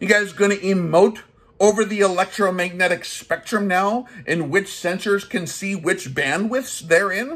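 Here a man talks at a moderate pace with a high pitch. His pitch variation is ordinary. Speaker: gun channel host, army veteran. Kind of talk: comedic rant review. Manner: animated. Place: home room. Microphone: phone near.

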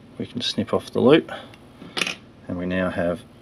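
A man talks at a fairly slow pace in an Australian accent. Noticeable background noise is present. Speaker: fly tyer. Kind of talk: fly tying tutorial narration. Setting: poor audio quality.

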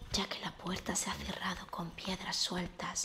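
A woman whispers at a very slow pace. Clear music plays in the background. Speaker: reader of a travel book. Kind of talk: audiobook-style reading aloud. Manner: soft, hushed ASMR reading voice.

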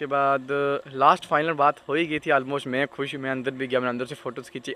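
Bright and sharp in tone, a man's voice comes across dry, with no echo. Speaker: trucking vlogger. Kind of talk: casual vlog chat. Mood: disappointed but resigned. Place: garden. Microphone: phone near.

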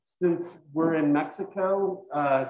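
Fairly slow, fairly even delivery with audible room echo and light background noise. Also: man. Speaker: culinary instructor. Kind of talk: tutorial. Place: kitchen. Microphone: video call.

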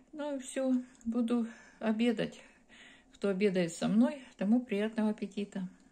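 A somewhat breathy woman with a warm tone speaks at a fairly slow pace, with ordinary pitch variation and long, frequent pauses. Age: 50s. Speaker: video blogger. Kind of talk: casual vlog. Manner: warm, chatty. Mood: relaxed, friendly. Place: home room. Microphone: phone near.

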